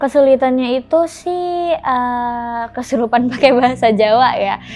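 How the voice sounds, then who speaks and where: With music in the background, a woman talks at a fairly slow pace in a high pitch with ordinary pitch variation. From Indonesia, not Javanese. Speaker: actress. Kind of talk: interview.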